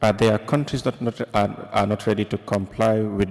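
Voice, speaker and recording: Heard on a very clean recording with a silent background, a plain, everyday voice moves at a moderate pace. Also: man. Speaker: journalist. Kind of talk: press conference question.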